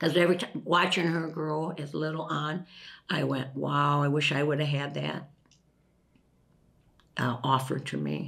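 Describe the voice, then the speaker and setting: Speaking in an Upper Midwest accent, a woman uses a very deep, low pitch with vocal fry and ordinary pitch variation. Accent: Upper Midwest American. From La Crosse, Wisconsin. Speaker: retired factory worker. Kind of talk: interview answer. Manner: casual, chatty.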